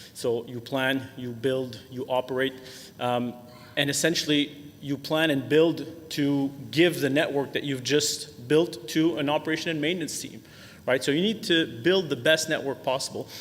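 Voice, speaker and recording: With a Quebec accent, a man speaks at a moderate pace in a fairly high pitch and fairly even intonation. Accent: French Canadian accent in English. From Quebec, Canada. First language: French. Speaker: software sales executive. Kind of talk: webinar presentation. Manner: frequent filler words, hesitant.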